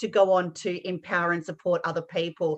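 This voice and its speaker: This woman speaks with an Australian accent. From Western Australia. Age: 50s. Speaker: life coach and podcast host. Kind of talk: self-introduction.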